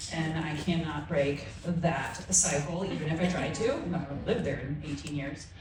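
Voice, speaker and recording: A woman's fairly low voice with a slight Southern Midwest accent, plus audible room echo and noticeable background noise. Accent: slight Southern Midwest twang. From US Midwest. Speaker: midwife. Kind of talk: panel introduction.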